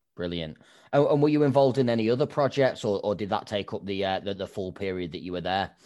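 Over a quiet background, a man with an English accent talks at a very fast pace in a fairly low pitch. His tone is dark and mellow, and his intonation is lively. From England. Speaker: podcast host. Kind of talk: interview.

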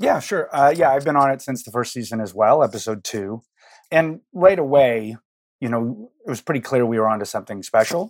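With a plain, everyday voice, a man at medium pitch talks at a fairly quick pace, with lively intonation and big swings in loudness, on a very clean recording with a silent background. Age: 50s. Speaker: picture editor. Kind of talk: interview conversation.

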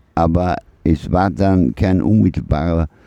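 A man's voice is heard in a dry, close sound with no echo. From Austria (Vorarlberg, then Vienna). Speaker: micronation president, art project heir. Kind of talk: interview.

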